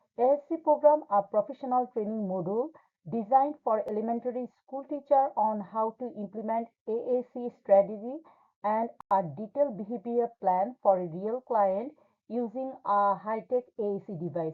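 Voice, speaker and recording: Here a woman speaks with a non-native accent at a moderate pace. Her pitch is fairly high and varies in an ordinary way. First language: not English. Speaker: graduate student. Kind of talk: class presentation. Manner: formal.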